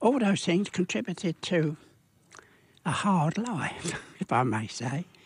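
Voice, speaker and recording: A man with a British accent speaks at a very slow pace in a high voice with very wide pitch swings. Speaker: war veteran. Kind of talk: radio interview answer. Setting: studio.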